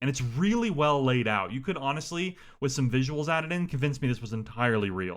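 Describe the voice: Someone reads the text out plainly. It is plain reading aloud.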